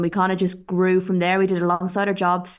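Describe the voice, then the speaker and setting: A woman with a fairly low pitch and an Irish accent. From Ireland. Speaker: football reporter and photographer. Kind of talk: interview.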